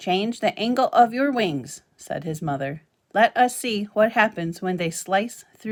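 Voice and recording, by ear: A natural-voiced read-aloud, intonation lively, background quiet.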